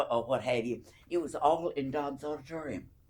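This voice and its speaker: A woman's very deep, low voice with vocal fry, at a moderate pace. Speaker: retired college alumna. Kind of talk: oral history interview answer.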